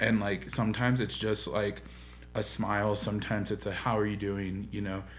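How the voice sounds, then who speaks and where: Room echo can be heard. In it, a man speaks fairly quickly. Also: fairly low pitch for a man. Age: 20s. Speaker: church podcast host. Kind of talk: casual chat. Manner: animated.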